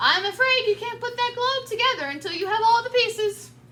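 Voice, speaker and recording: Speaking at a fairly quick pace, a woman uses a squeaky put-on character voice at an extremely high pitch. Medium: read story. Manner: cheerful.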